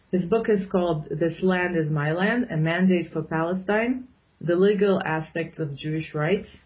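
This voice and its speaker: A woman's somewhat breathy, medium-pitched voice at a fairly slow pace. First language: Arabic. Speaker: political commentator. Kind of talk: radio interview.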